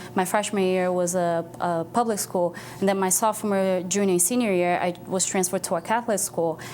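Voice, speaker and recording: A woman's medium-pitched voice in a Brazilian accent, fairly quick, with ordinary pitch variation, over noticeable background noise. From Brazil, moved to Boston as a teen. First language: Portuguese. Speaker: nonprofit foundation staff. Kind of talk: TV interview.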